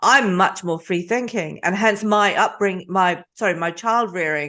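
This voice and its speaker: Over a quiet background, a woman with an ordinary speaking voice talks at a moderate pace, medium in pitch with ordinary pitch variation. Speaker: podcast host. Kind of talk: interview question.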